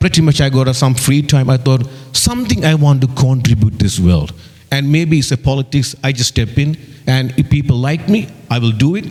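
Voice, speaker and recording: A man's medium-pitched voice with an Indian accent, fairly quick, with ordinary pitch variation and noticeable background noise. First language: not English, Indian language. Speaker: election candidate. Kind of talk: campaign speech. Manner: halting.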